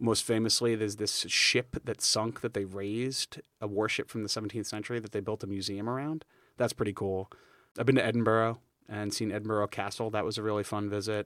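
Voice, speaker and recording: Recorded very clean with a silent background and a dry, close sound with no echo, the speaker talks at a fairly quick pace in a New York accent. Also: man, fairly low pitch for a man. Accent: New York area American. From New York state. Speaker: high school history teacher. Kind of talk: casual interview. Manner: energetic, animated.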